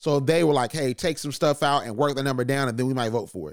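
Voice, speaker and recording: The tone is animated throughout. The recording is very clean, with a silent background. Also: man. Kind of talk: radio dj patter, energetic podcast intro. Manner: animated, punchy, rallying.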